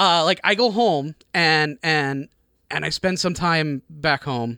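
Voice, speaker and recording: A man with an American accent, fairly high in pitch, with a bright, sharp tone and a dry, close sound with no echo, on a very clean recording with a silent background. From Chicago suburbs, Illinois. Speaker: station manager and engineer. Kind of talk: casual chat. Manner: halting, hesitant.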